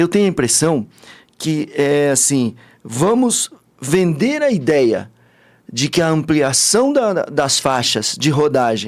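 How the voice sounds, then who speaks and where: Animated and fairly high-pitched, a man speaks with very wide pitch swings. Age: 60s. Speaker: businessman and party politician. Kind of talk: interview.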